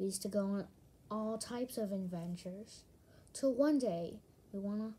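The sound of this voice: The pitch varies in an ordinary way. It belongs to an unforced reading voice.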